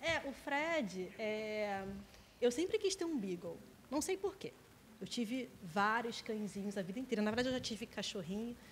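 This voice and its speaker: Over noticeable background noise, a woman with a fairly high pitch speaks at a moderate pace, her pitch swinging very widely. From Brazil, Nova Iguaçu (Rio de Janeiro state). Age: 30s. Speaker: English teacher. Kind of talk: casual interview chat.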